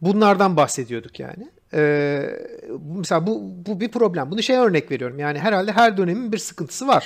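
Over a very clean, silent background, a man with a high-pitched voice speaks with very wide pitch swings. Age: 40s. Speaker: game designer. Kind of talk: casual chat.

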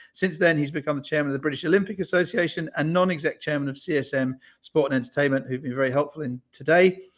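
A man talks at a very fast pace with ordinary pitch variation. The background stays quiet. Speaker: event host. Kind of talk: introduction of a guest. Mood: cheerful, smiling. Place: home room.

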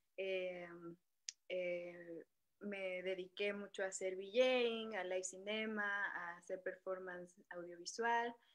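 Here a woman talks at a very slow pace. Her pitch is medium. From Acapulco, Guerrero, Mexico. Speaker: filmmaker, video artist. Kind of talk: panel discussion. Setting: video call.

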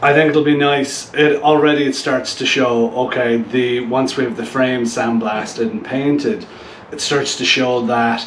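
A man speaks at a moderate pace. The room has an audible echo and light background noise. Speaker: motorcycle build host. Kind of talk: casual vlog chat. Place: garage.

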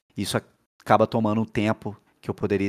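A man's fairly low voice over a quiet background. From Volta Redonda, interior of Rio de Janeiro state, Brazil; Rio de Janeiro state, Brazil. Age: 30s. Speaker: sim racing driver. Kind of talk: interview monologue. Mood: enthusiastic, emotional about championship. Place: home room. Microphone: headset.

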